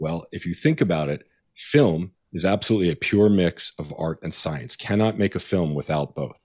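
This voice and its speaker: A man with an American accent and a very deep, low pitch, at a moderate pace, on a very clean recording with a silent background and a dry, close sound with no echo. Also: ordinary pitch variation. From New York. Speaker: spirits company founder and former screenwriter. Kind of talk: interview.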